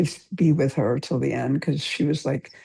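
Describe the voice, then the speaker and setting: A woman speaks at a moderate pace. Her tone is dark and mellow, with vocal fry. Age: 70s. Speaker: meditation participant. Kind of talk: casual chat.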